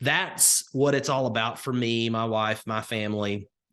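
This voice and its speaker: Someone speaks with a Southern Alabama accent against a quiet background. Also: man. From US South, rural northwest Alabama. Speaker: crypto investing coach. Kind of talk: live webinar presentation. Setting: live online call with chat. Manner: conversational with frequent fillers.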